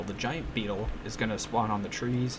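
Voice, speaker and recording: A man speaks quietly, with audible room echo and noticeable background noise. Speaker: gaming streamer. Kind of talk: live gameplay commentary. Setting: home, late at night. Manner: casual, animated; quiet, keeping voice low.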